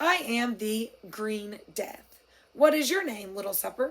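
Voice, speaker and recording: A woman puts on a raspy character voice. She speaks at a fairly slow pace. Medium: read story. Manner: pompous, leisurely, condescending.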